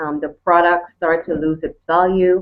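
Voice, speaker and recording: A woman speaks with a Caribbean accent. Her pitch is fairly low. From Turks and Caicos Islands. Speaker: network marketer. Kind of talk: panel testimony.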